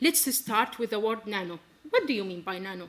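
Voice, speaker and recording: Speaking with an Arabic accent, a woman uses lively intonation. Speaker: physics researcher. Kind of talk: scientific presentation. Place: stage.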